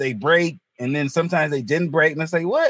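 Talking at a very fast pace, a man with a North Carolina accent has a fairly high pitch. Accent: US South, North Carolina. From North Carolina, Hertford. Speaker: comedian. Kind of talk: casual chat.

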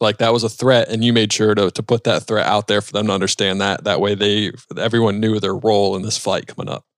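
Delivered very fast with hardly any pauses, the speech is flat and monotone, with a dry, close sound with no echo in a very clean recording against a silent background. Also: man, fairly low pitch for a man. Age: 30s. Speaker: aviation podcast host. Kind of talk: casual interview.

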